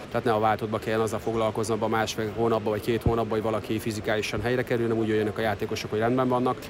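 Amid noticeable background noise, a man rattles along at a very fast pace with hardly any pauses, his medium-pitched voice monotone and flat. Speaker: water polo national team coach. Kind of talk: interview. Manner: halting.

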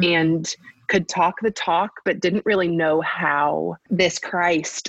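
A woman with an American accent speaks in a plain, everyday voice at a fairly low pitch. Her pace is fairly slow, her intonation fairly even, and the sound dry and close with no echo. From US South (Bible Belt). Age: 30s. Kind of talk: interview about faith and parenting.

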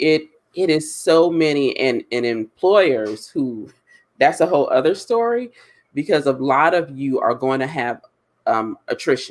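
A plain, everyday voice from a man with an American accent, fairly high in pitch, at a fairly slow pace with lively intonation. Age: 40s. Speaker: diversity and hiring consultant. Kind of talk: live webinar discussion. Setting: online live stream.

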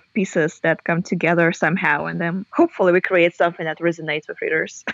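A woman with a Russian accent talks at a fairly quick pace, her pitch fairly low and her intonation fairly even. The sound is dry and close, with no echo. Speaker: novelist and university lecturer. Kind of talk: interview.

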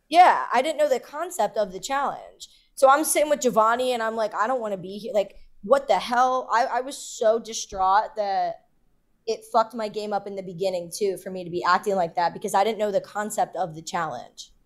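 A woman speaks at a fairly quick pace and a fairly high pitch. Her animated tone has lively intonation and big swings in loudness. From Philadelphia, US. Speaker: reality TV contestant. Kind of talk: interview.

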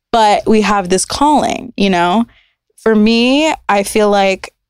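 With an ordinary speaking voice, a woman at medium pitch and ordinary pitch variation speaks at a fairly slow pace in a dry, close recording with no echo. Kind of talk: casual interview chat. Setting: studio.

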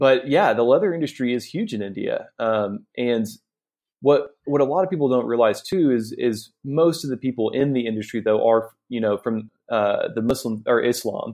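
A man with a Southern US accent talks at a moderate pace and a medium pitch. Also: ordinary pitch variation. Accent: Southern American. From US South, Northwest Arkansas. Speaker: sourcing agent. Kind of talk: interview.

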